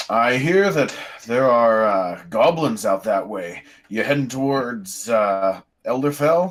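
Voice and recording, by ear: Putting on a gruff character voice, a man speaks fairly slowly at a medium pitch with lively intonation.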